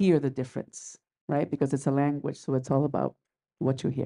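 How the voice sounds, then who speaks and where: With a Spanish accent, a woman speaks fairly quickly in a very deep, low, dark and mellow voice with ordinary pitch variation. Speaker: theatre practitioner. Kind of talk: panel discussion. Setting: library roundtable with audience.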